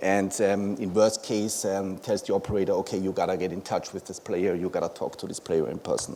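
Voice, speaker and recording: A man speaks with a German accent at a fairly low pitch. His intonation stays fairly even. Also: fairly quick pace, hardly any pauses. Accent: German-speaking accent in English. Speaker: conference speaker, company founder. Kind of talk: conference presentation. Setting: stage with audience. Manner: many filler words.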